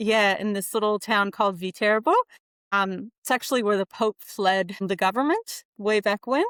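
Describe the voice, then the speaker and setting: In a very clean recording with a silent background and a dry, close sound with no echo, a woman with an American accent speaks at a moderate pace in a medium pitch with ordinary pitch variation. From US Pacific Northwest (Spokane, Washington). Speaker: occupational therapist. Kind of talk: podcast interview.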